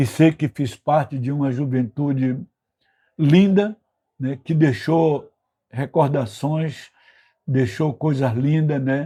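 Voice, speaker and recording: Speaking very slowly, a man leaves long, frequent pauses. His fairly high voice has a dark, mellow tone and is somewhat breathy. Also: ordinary pitch variation. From Brazil, Bahia (northeast), later Rio de Janeiro. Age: 80s+. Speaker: retired political activist, institute president. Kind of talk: interview, personal life story. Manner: frequent fillers and tag questions.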